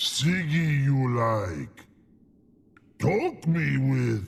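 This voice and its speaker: A man performs a put-on character voice. His pitch sits at medium. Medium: video game. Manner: slow, broken grammar.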